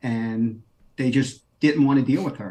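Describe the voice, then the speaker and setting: In a New York accent, a man speaks at a medium pitch with a dark, mellow tone. His intonation stays fairly even. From New York City, Queens. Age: 50s. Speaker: former deputy US marshal. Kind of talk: interview.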